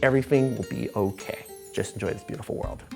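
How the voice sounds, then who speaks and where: Music plays in the background while a man talks. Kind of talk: interview answer.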